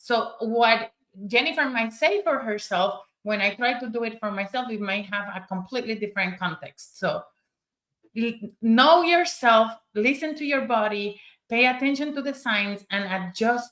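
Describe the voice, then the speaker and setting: A woman talks at a moderate pace in a Spanish accent. Her pitch is fairly high, with ordinary variation. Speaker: summit speaker. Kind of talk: panel discussion. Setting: live stream.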